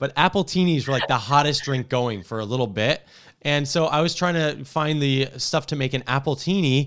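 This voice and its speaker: A man with an American accent talks at a moderate pace in an unremarkable speaking voice, fairly high in pitch with ordinary pitch variation. The recording is very clean, with a silent background. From New Jersey. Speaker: tech reporter and podcast host. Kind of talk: casual tech podcast chat.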